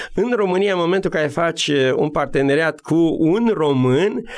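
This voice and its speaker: This man has a high-pitched voice with ordinary pitch variation. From Romania, Maramureș. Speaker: military officer and business coach. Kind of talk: radio interview.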